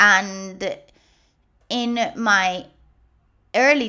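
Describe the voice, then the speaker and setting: A woman's bright, sharp voice with a Spanish accent, in a very clean recording with a silent background. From Puerto Rico. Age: 30s. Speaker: guest host, lymphedema patient and podcaster. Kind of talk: personal testimony.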